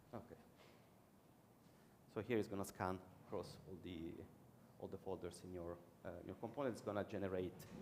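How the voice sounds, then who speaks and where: With an Italian accent and a very deep, low pitch, a man talks at a fairly quick pace with fairly even intonation and long, frequent pauses, audible room echo in the background. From Italy. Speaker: conference speaker, web developer. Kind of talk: conference talk and Q&A. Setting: conference stage with audience.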